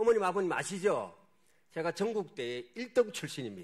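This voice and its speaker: A man's voice with very wide pitch swings. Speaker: missionary pastor. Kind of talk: sermon. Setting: church.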